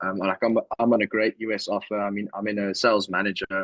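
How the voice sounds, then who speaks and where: A man's fairly low voice, monotone and flat in intonation, at a fairly quick pace. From South Africa, Cape Town. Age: 20s. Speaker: sales manager. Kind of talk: interview.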